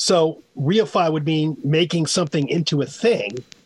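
This man talks with a New York accent in a fairly high pitch. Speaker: language author. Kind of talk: call-in radio show. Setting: remote call-in.

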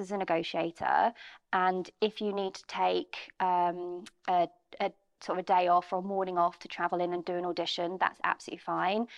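Speaking in a southern English accent, a woman keeps a medium pitch and monotone, flat intonation at a moderate pace, with big swings in loudness. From Bromley, outside London, England. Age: 30s. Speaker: estate agency managing director. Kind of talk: interview. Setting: studio.

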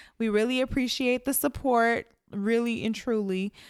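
The intonation stays fairly even as a woman talks. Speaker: podcast co-host. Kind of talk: casual chat. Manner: slow.

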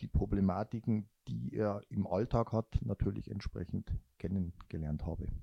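Against a quiet background, a man speaks at a fairly slow pace in a fairly low, dark, mellow voice with ordinary pitch variation, the sound dry and close with no echo. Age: 50s. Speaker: running guide for a blind runner. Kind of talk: interview. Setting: three people sharing one handheld mic.

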